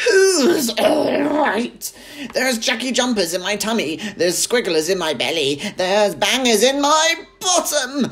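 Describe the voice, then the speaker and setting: A man's put-on character voice, extremely high in pitch, with very wide pitch swings at a moderate pace. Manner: yelling, indignant, comically shrill.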